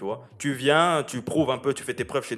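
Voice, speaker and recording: A man at medium pitch races along at a very fast pace, his intonation fairly even. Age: 20s. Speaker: football fan, social media personality. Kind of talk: casual chat.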